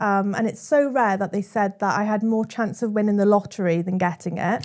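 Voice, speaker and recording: In a Welsh accent, a woman talks at a fairly quick pace with a fairly high pitch. Her tone is dark and mellow, with ordinary pitch variation. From South Wales, Swansea. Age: 30s. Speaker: social media storyteller. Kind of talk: interview.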